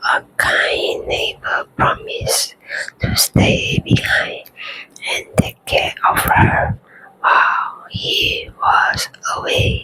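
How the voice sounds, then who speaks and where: Whispering at a very slow pace. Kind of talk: ASMR bedtime story. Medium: read story. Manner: slow, calm, soothing.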